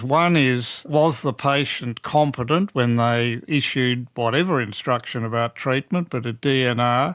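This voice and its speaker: Speaking at a fairly slow pace, a man uses an ordinary speaking voice at medium pitch with ordinary pitch variation. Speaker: oncologist and bioethicist. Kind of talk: interview answer.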